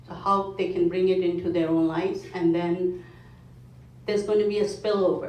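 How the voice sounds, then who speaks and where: A woman's voice is heard with audible room echo. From India. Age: 50s. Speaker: mindfulness foundation speaker. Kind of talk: talk to a club meeting.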